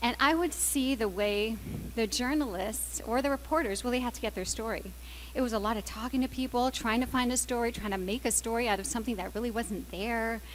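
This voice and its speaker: The speaker sounds animated and moves at a fairly quick pace. Room echo can be heard. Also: woman. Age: 40s. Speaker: business executive. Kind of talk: conference talk.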